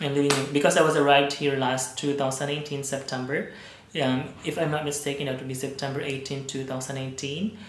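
Someone speaks with a Visayan Filipino accent over noticeable background noise. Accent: Filipino (Cebuano) English. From Philippines, Cebu. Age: 30s. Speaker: vlogger. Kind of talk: casual vlog monologue. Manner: hesitant, many fillers.

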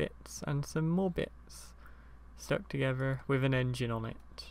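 Someone with a British accent talks at a fairly slow pace. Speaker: gaming video maker. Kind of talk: casual gameplay commentary. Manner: casual, rambling, laughing.

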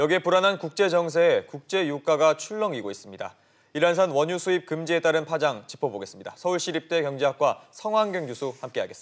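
A man's high-pitched voice, fairly quick and with lively intonation, over a quiet background. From South Korea. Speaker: news anchor. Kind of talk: news interview. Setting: studio. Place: studio. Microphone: lapel.

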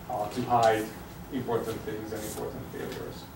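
There is noticeable background noise. Through it, a man is speaking. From Hungary. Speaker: sociology professor. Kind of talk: lecture. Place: classroom. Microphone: camera far.

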